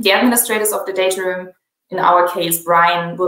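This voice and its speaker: Talking at a fairly quick pace, a woman with a German accent keeps a fairly low pitch and fairly even intonation. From Germany. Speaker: software company presenter. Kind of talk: product demo webinar.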